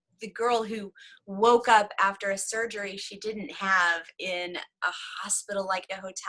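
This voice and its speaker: A woman with an American accent at a medium pitch and moderate pace, her tone bright and sharp, her intonation fairly even, and her loudness swinging widely. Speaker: devotional author and writing coach. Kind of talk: casual interview chat.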